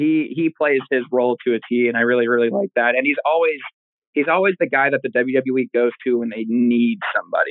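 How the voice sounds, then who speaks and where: This is a man with an American accent and an ordinary speaking voice. His pitch is medium, with ordinary pitch variation. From Oklahoma. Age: 20s. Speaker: professional wrestler. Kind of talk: interview.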